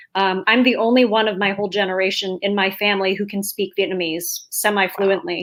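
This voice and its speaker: Here is a woman with an unremarkable speaking voice and an American accent. She talks at a fairly quick pace. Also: medium pitch for a woman. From New York, US. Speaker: author. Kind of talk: panel discussion.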